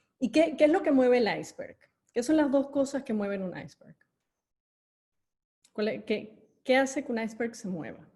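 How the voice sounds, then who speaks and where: A woman speaks at a moderate pace with lively intonation, her tone dark and mellow and somewhat breathy. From Venezuela. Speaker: corporate education executive and speaker. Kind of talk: online talk with audience chat. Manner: hesitant with fillers.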